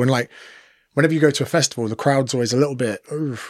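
A man with an English accent talks at a fairly quick pace with fairly even intonation, in a dry, close sound with no echo on a very clean recording with a silent background. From England. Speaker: personal trainer and comedian. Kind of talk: casual chat.

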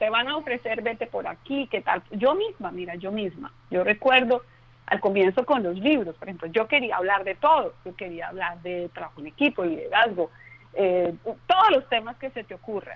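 At a moderate pace, a woman with a normal speaking voice talks in a fairly high pitch with lively intonation. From Colombia, Bogotá. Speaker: communication expert and author. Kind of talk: interview.

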